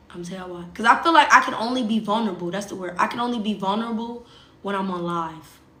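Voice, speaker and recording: The speech shows ordinary pitch variation, and there is audible room echo. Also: woman. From US South. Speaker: social media livestreamer. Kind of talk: casual livestream chat.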